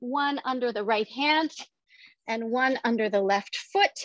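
A woman speaks with a high pitch and a bright, sharp tone. Her pitch varies in an ordinary way, and the sound is dry with no echo. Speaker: fitness instructor. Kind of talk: guided exercise class with rhythmic cues and countdowns. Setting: online workout video at home. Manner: brisk, rhythmic, encouraging. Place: home room.

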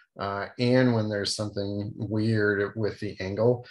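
Against a quiet background, the speech unfolds at a fairly slow pace. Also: man. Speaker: math instructor. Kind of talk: lecture. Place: office. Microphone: video call.

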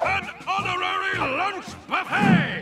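Over faint background music and audible room echo, a man does a put-on character voice at an extremely high pitch, bright and sharp in tone, slow in pace, with ordinary pitch variation.

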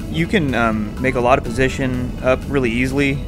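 Over music in the background, a man's voice shows ordinary pitch variation. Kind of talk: commentary.

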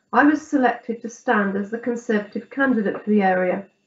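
A woman at a moderate pace, with audible room echo. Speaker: councillor giving tribute. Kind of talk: formal spoken tribute. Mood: respectful, somber tribute. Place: home room. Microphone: video call.

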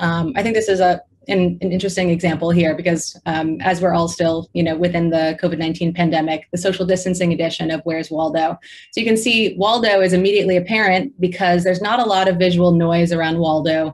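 At a very fast pace, a woman with a fairly low pitch speaks with fairly even intonation and very even loudness. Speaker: presenter. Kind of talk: lecture. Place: home room. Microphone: webcam.

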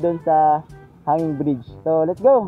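The speech moves at a moderate pace. The sound is dry with no echo, and faint music plays in the background. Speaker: motovlogger. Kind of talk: casual vlog chat. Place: waterside. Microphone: helmet.

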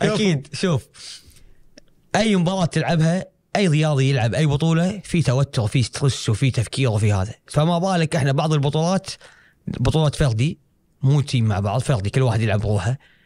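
Somewhat breathy and fairly high-pitched, a man with a Kuwaiti accent speaks at a moderate pace and very even loudness over a quiet background. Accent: Kuwaiti Gulf Arabic. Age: 20s. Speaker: karate athlete; guest. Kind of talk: interview. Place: studio. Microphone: studio mic.

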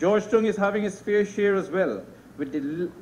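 A man speaks with ordinary pitch variation over light background noise. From Guyana. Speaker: politician. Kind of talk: parliamentary speech. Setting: parliament chamber. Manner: formal. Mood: serious, concerned. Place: hall.

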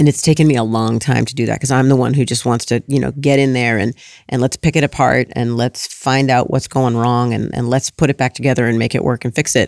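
A woman speaks at a very fast pace with a very deep, low pitch. Her intonation is fairly even, and the sound is dry with no echo. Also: quiet background. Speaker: parenting author; guest. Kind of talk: casual chat. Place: studio. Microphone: studio mic.

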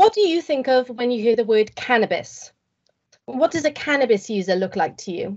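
In a quiet setting, a woman's intonation rises and falls in a lively way. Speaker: presenter. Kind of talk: competition talk, rehearsed presentation. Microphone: video call.

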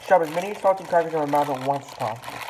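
A man's high-pitched voice at a very fast pace, fairly even in intonation, over noticeable background noise. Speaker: food vlogger. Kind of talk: casual vlog chat. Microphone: phone near.

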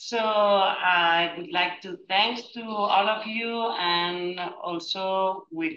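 A woman talks with a Spanish accent. Light background noise and audible room echo accompany her. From Spain. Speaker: family physician; webinar panellist. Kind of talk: panel discussion. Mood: warm, appreciative. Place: office. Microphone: headset.

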